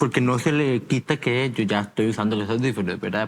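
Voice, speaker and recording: The man talks at a fairly quick pace. His pitch varies in an ordinary way. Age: 20s. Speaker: hearing aid user sharing his story. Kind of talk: interview. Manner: halting, many fillers and repetitions.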